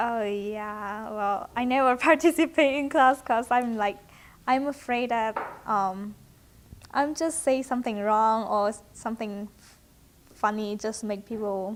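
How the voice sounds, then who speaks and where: With a Chinese accent, a woman talks at a fairly slow pace and a fairly high pitch, with ordinary pitch variation. Her loudness swings widely. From China. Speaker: university student. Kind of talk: interview. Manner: halting.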